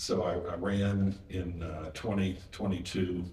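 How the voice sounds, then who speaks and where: A somewhat breathy man with an American accent speaks at a fairly low pitch, with audible room echo. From West Virginia. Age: 60s. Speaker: state senator. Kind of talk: panel interview.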